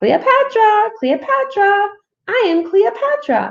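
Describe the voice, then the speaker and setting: A woman puts on a character voice, pitched extremely high, and delivers it at a fairly slow pace. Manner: repeating its name.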